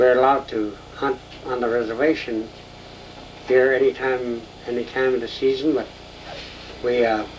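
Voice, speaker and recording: Over noticeable background noise, a man with an American accent talks at a moderate pace. His intonation is monotone and flat, with long, frequent pauses. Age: 70s. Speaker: painter. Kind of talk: interview. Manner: halting.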